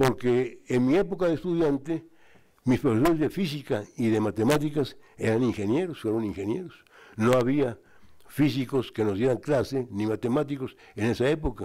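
Over a quiet background, a man speaks at a moderate pace. His tone is dark and mellow, with ordinary pitch variation. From Mexico. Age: 80s+. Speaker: honoree, retired engineer and former institute director; guest. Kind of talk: speech. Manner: halting. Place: hall. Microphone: podium.

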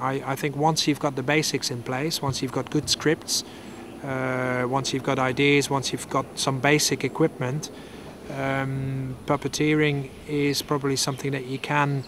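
The man talks at a fairly slow pace in a monotone, flat intonation, with a dry sound with no echo and noticeable background noise. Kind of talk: interview answer. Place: garden.

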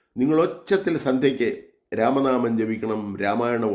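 There is audible room echo as a man speaks. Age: 70s. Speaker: religious vlogger. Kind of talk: monologue sermon.

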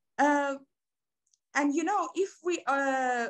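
In a Persian accent, a woman speaks with lively intonation against a quiet background. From Iran. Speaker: academic researcher; panelist. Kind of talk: academic presentation. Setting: video call. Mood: earnest, engaged. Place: home room. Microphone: video call.

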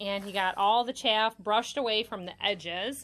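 Bright and sharp in tone, a woman speaks at a moderate pace. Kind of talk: casual vlog chat. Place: farm machine. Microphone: phone near.

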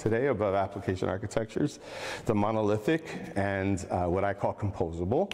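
This man has a plain, everyday voice, fairly low in pitch, and talks at a fairly quick pace. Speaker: conference speaker. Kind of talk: lecture. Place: hall.

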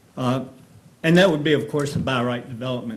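There is audible room echo around a man whose medium pitch shows ordinary variation. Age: 80s+. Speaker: resident speaking at public hearing. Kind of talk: public comment at county board hearing.

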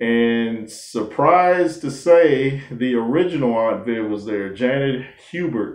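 Over a quiet background, a man speaks with ordinary pitch variation, and room echo is audible. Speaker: commentator. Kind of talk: casual commentary on a TV show. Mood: warm, reflective. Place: home room. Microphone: webcam.

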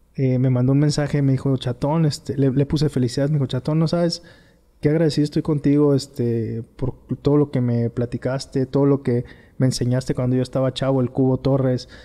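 A man talks with a dark, mellow tone and very even loudness against a quiet background. His intonation is monotone and flat. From Tepic, Nayarit, Mexico; Nayarit, Mexico. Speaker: former professional footballer; guest. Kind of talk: interview. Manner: halting. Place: home room. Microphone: studio mic.

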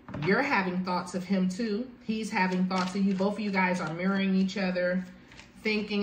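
A woman speaks in a monotone with flat intonation. Light background noise and audible room echo are present. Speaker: tarot reader. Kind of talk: tarot reading commentary. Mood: warm, encouraging. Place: home room. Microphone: phone near.

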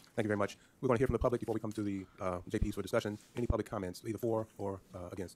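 Speaking at a very fast pace, a man keeps a fairly low pitch and a monotone, flat intonation. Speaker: county judge chairing meeting. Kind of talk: meeting chairing. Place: hall. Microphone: podium.

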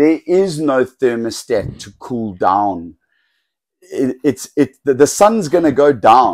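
Over a quiet background, a man speaks very slowly with very wide pitch swings. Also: fairly high pitch for a man. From South Africa. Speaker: snake breeder and former game ranger. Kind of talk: casual video tutorial. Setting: indoor snake breeding room. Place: home room. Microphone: lapel.

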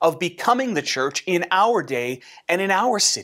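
Lively intonation marks this man's fairly slow speech. The background is quiet. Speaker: pastor. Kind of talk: sermon. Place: home room.

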